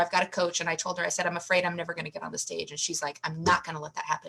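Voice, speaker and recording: Over noticeable background noise, a woman talks very fast at a medium pitch with an American accent. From US Midwest. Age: 50s. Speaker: podcast guest, author and bodybuilder. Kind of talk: casual chat.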